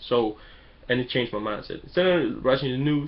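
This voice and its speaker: The voice has an animated tone and sounds somewhat breathy. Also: man. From Denmark. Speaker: online business vlogger. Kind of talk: motivational webcam vlog. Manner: animated, emphatic.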